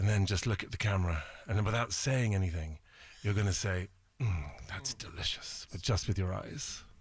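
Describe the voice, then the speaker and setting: At a moderate pace, a somewhat breathy voice with ordinary pitch variation comes through a very clean recording with a silent background. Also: man. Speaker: fashion photographer and TV judge. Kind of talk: interview answer.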